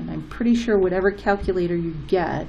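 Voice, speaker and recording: A woman's voice carries audible room echo over noticeable background noise. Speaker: math teacher. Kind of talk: tutorial.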